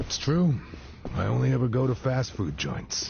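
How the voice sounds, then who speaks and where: Over clear background noise, a raspy, put-on character voice talks at a moderate pace. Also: man. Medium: short film. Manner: laid-back, deadpan.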